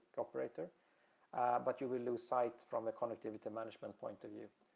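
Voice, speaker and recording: A man with a Swedish accent talks at a fairly quick pace. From Sweden. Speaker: telecom industry presenter. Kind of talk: webinar presentation. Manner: halting, many fillers.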